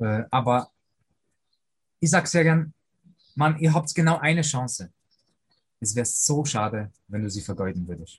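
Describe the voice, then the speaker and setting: A man with an Austrian accent speaks at a medium pitch and moderate pace, his voice somewhat breathy. His pitch swings very widely, and he leaves long, frequent pauses. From Austria, Vorarlberg (Lake Constance), moved from Poland as a boy. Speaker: personal coach for fathers, former pro footballer. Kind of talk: interview.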